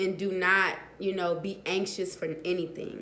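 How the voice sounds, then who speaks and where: A woman talks at a medium pitch with monotone, flat intonation. Audible room echo surrounds her voice. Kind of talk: casual vlog talk. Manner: hesitant, many fillers.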